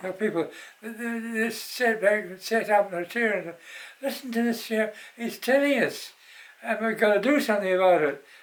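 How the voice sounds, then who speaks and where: Noticeable background noise accompanies a man speaking at a fairly quick pace. His voice is high, with ordinary pitch variation. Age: 80s+. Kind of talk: interview answer. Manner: hesitant.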